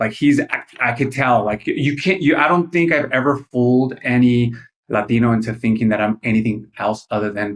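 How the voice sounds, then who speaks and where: A man talks at a medium pitch. He holds a moderate pace with ordinary pitch variation. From Mexico City. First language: Spanish. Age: 40s. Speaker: political content creator. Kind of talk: casual podcast chat. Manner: halting, many fillers.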